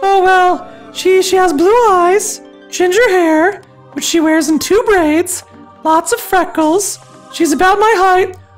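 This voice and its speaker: A put-on character voice squeaks at an extremely high pitch. Faint music plays in the background. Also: fairly slow pace. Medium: read story. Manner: nervous, hesitant.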